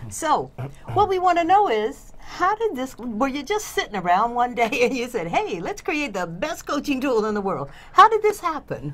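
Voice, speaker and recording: Against noticeable background noise, a woman with an American accent speaks at a moderate pace in a high pitch with very wide pitch swings. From US South. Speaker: coaching show host. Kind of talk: interview. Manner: animated.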